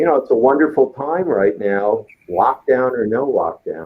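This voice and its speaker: An ordinary speaking voice at a fairly slow pace, with lively intonation. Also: man. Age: 60s. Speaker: business consultant. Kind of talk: talk show interview.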